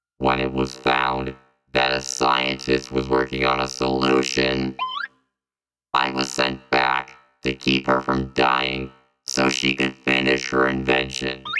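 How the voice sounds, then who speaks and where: A put-on character voice, very deep and low in pitch, with monotone, flat intonation at a fairly slow pace. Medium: audio drama. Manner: stiff, formal, mechanical phrasing.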